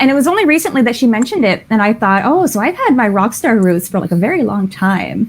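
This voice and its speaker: Over noticeable background noise, a woman with a Canadian accent speaks very fast at a fairly high pitch, with hardly any pauses, very wide pitch swings and very even loudness. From Canada. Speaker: romance author. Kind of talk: casual chat.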